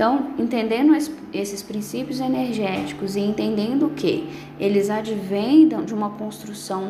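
In a room with audible echo and noticeable background noise, a woman speaks at a fairly slow pace with a fairly high pitch and lively intonation. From Brazil, Minas Gerais. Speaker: spiritist lecturer and mediumship instructor. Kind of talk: lecture.

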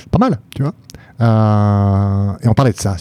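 With a dry, close sound and no echo, a man speaks in a fairly low voice of dark, mellow tone and fairly even intonation. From France, Paris region and Nancy. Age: 30s. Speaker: public investment bank executive. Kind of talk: casual interview.

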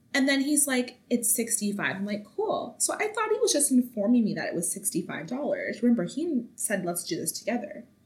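Over noticeable background noise, a woman with a high pitch speaks with hardly any pauses and very wide pitch swings. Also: moderate pace. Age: 20s. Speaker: podcast host. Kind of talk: casual monologue.

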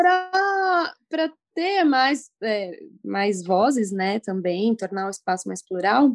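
Speaking at a very slow pace, a woman with a fairly high pitch makes very wide pitch swings. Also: dry, close sound with no echo. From interior of São Paulo state, Brazil. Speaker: journalist and surf blogger. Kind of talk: casual interview.

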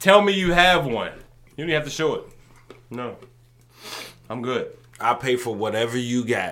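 Over noticeable background noise, a man with a medium pitch talks at a moderate pace in an animated tone with lively intonation, leaving long, frequent pauses. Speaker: podcast host and comedian. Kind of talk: casual comedic chat.

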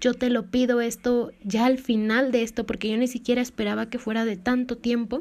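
Speaking at a moderate pace, a woman has a high pitch and a monotone, flat intonation. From Mexico. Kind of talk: devotional talk.

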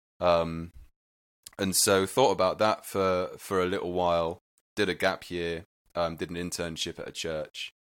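A man with a very deep, low pitch talks at a fairly slow pace in a monotone, flat intonation. The recording is very clean, with a silent background. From Wales. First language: Welsh. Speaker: singer-songwriter and worship leader.

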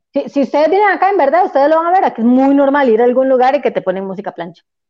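A woman talks at a very fast pace with a Costa Rican accent. Her pitch swings very widely. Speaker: podcast guest, listener. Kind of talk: casual chat.

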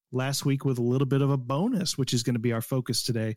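A man speaks at medium pitch. He has an ordinary speaking voice. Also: dry, close sound with no echo, very clean recording, silent background. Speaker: gaming podcast co-host. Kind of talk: casual chat.

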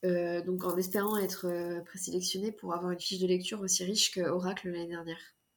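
Talking at a very fast pace with hardly any pauses, a woman holds a medium pitch in a monotone, flat intonation. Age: 20s. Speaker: fantasy author. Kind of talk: casual interview. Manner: hesitant, many fillers.

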